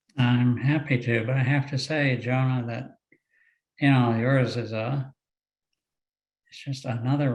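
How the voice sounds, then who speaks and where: Somewhat breathy and medium in pitch, a man's voice unfolds at a moderate speed. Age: 60s. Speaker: retired lawyer, panelist with hemophilia. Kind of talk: personal testimony on webinar panel.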